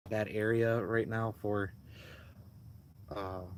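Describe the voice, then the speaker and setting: In an American accent, a man talks at a very slow pace. His fairly low voice stays monotone and flat. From US Midwest, Milwaukee. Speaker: YouTuber. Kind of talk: casual live-stream Q&A. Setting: inside a tent at a beach campsite. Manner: loud; halting, many fillers.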